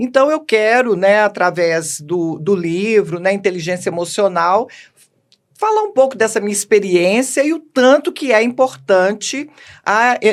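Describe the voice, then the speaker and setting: Lively intonation from a woman speaking fairly slowly. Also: medium pitch for a woman. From Minas Gerais, Belo Horizonte. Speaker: educational manager, book co-author. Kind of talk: podcast interview.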